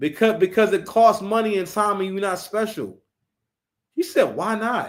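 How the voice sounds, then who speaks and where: In a very clean recording with a silent background, a man speaks at a moderate pace. His high voice carries an animated tone and ordinary pitch variation. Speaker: live stream commentator. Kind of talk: reaction commentary. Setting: live stream. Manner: stammering, repeats words.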